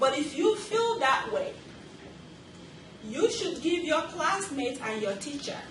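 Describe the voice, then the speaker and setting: There is audible room echo and noticeable background noise as a woman talks with very wide pitch swings. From Nigeria. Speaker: nurse educator. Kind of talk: lecture. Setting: classroom.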